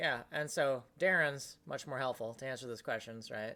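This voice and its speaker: Over a very clean recording with a silent background, a woman speaks at a fairly quick pace. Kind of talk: casual chat. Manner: fast.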